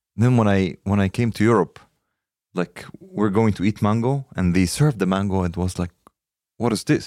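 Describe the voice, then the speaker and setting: Fairly low in pitch with ordinary pitch variation, a man speaks at a moderate pace. The sound is dry and close with no echo, on a very clean recording with a silent background. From Egypt. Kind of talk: casual chat.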